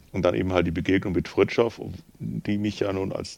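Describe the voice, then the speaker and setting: A man's very deep, low-pitched voice with vocal fry. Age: 50s. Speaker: pastor and theologian. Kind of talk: casual chat.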